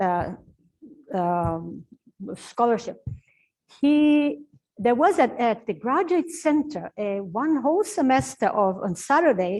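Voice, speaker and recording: Speaking with a Portuguese accent, a woman talks at a very slow pace with a high pitch, very wide pitch swings, and long, frequent pauses. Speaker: professor and translator. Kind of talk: Q&A talk at book launch. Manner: halting, with fillers and restarts.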